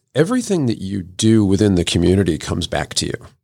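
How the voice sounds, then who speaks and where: In a plain, everyday voice, a man talks at a fairly quick pace with a fairly low pitch. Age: 50s. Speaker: marketing agency owner and motorcycle racer. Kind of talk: casual chat. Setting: studio.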